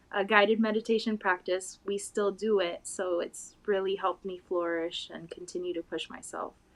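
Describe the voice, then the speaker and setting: A woman with a Spanish accent talks at a moderate pace in a monotone, flat intonation, with hardly any pauses. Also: medium pitch for a woman. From Puerto Rico. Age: 20s. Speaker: interview guest. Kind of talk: interview.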